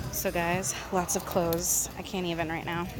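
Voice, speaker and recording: Noticeable background noise behind a woman, the sound dry with no echo. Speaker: shopping vlogger. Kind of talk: casual vlog chat. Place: shop. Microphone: phone near.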